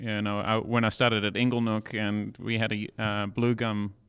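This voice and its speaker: A very clean recording with a silent background captures a man speaking with an Australian accent. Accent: Australian-sounding. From South Africa, then Australia from age 15. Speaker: winemaker. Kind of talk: casual interview chat. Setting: in winery caves.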